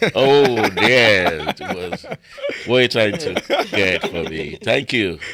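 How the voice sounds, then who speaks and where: With noticeable background noise behind him, a man talks at a medium pitch and a very slow pace, his intonation lively. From Britain, Nigerian parents. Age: 60s. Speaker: prison chaplain. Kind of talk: interview.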